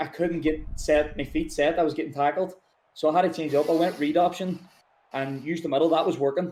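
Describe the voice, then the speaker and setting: A man's fairly high voice with a Northern Irish accent, very fast and monotone, dark and mellow in tone, on a very clean recording with a silent background. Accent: Derry. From Northern Ireland, Derry. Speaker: video game tournament champion, American football player. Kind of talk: post-game interview.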